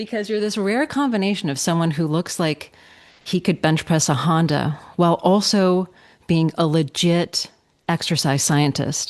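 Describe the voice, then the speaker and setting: A normal speaking voice moves at a moderate pace, its pitch showing ordinary variation. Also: woman, fairly low pitch for a woman. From Canada, Toronto. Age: 40s. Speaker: podcast host. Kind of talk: interview.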